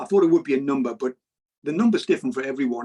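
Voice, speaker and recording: This man's voice sits fairly high and swings very widely in pitch, captured with a dry, close sound and no echo. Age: 60s. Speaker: cab driver and money YouTuber. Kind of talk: interview.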